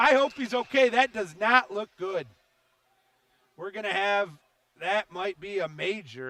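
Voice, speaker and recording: A man's high, raised and projected voice with lively intonation, fairly slow and broken by long, frequent pauses, dry and close with no echo. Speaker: hockey play-by-play announcer. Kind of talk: live sports commentary. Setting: ice arena broadcast.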